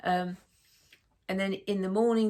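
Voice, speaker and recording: A woman of medium pitch speaks with a slight northern English accent. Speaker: sewing vlogger. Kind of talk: casual vlog chat. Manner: chatty, hesitant with many fillers.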